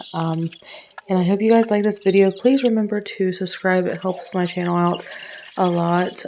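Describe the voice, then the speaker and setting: A woman with an American accent, medium pitch, fairly even intonation and noticeable background noise. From Ohio. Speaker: stay-at-home mom vlogger. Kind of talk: vlog intro. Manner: casual, hesitant with fillers.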